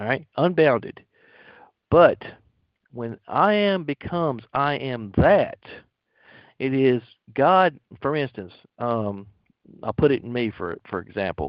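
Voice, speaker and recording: Speaking at a fairly slow pace and medium pitch, a man swings his pitch very widely between long, frequent pauses. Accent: American. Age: 50s. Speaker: lay spiritual teacher. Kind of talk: spiritual teaching talk. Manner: halting, many fillers.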